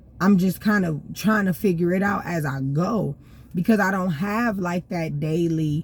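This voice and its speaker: A woman speaks at a fairly slow pace in a somewhat breathy voice. Her pitch varies in an ordinary way. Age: 30s. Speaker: vlogger. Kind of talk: casual monologue. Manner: unscripted, rambling, with fillers.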